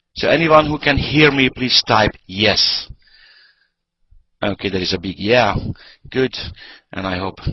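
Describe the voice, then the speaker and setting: Talking with a non-native accent, a man uses lively intonation at a moderate pace and a fairly low pitch. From Hungary. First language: Hungarian. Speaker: network marketing presenter. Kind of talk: sales pitch. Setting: online webinar.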